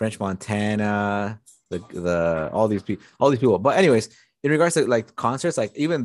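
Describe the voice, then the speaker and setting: Against a quiet background, a man speaks at a fairly low pitch with lively intonation. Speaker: podcast co-host. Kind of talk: casual chat.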